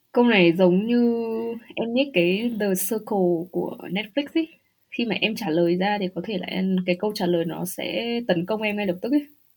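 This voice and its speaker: In a normal speaking voice, a woman talks at medium pitch. She keeps a fairly slow pace and ordinary pitch variation. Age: 30s. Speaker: podcast guest living in Germany. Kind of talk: casual interview chat.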